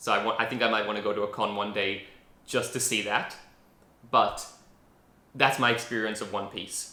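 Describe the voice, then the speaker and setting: A man with a fairly low pitch and a bright, sharp tone speaks in a flat monotone at a moderate pace, leaving long, frequent pauses, with audible room echo. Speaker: anime reaction youtuber. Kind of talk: casual video commentary. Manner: rambling, hesitant with fillers.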